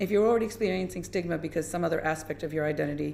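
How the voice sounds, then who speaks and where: A woman with an American accent has a dark, mellow tone marked by vocal fry. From US, New York area. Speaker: menstrual health educator. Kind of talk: parliamentary committee evidence.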